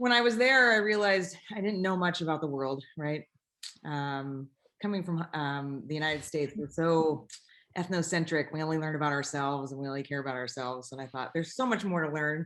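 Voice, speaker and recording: A woman with a West Coast US accent, at a very deep, low pitch and a fairly quick pace, with lively intonation. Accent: General American, West Coast. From Northern California, Bay Area. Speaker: airline pilot. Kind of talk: interview conversation.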